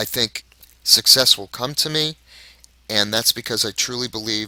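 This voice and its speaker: Raspy and bright with a sharp tone, a man talks at a moderate pace with ordinary pitch variation. The sound is dry and close, without echo. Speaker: product reviewer, online marketer. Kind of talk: video review monologue.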